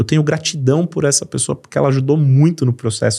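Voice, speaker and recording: Speaking with a São Paulo accent, this man has a fairly high pitch. His voice is somewhat breathy. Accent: paulista. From São Paulo, Brazil. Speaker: company CEO. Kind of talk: business podcast conversation.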